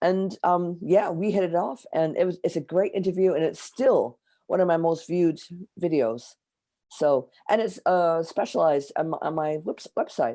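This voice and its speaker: A woman's dark, mellow tone in an American accent, with ordinary pitch variation at a moderate pace. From US Midwest, near Detroit, Michigan. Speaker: astrologer and author. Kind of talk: interview.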